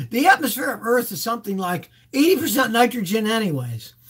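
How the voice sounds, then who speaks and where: A man with very wide pitch swings against a quiet background. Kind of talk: live Q&A answers. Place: home room. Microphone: webcam.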